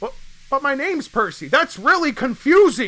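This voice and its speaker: A put-on character voice, high in pitch, moves at a moderate pace. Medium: fan dub.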